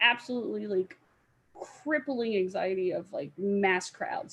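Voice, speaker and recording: A woman with an American accent speaks in a fairly high, somewhat breathy voice. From Florida. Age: 30s. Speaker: cosplayer. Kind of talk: casual chat.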